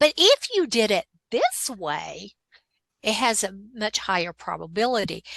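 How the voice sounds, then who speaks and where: A woman's fairly slow speech is captured in a dry, close sound without any echo. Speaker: digital product creator and coach. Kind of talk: interview. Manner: animated.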